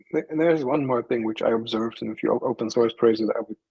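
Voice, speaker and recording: In a non-native accent, a man talks at a medium pitch with ordinary pitch variation, recorded with a dry, close sound and no echo. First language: not English. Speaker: committee candidate. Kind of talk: panel interview. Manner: halting.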